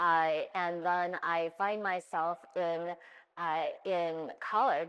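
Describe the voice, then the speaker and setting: An unremarkable speaking voice from a woman, fairly low in pitch, with an American accent and fairly even intonation. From US West Coast, Oakland, California. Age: 60s. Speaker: retired business executive, panelist. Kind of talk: panel discussion, personal story.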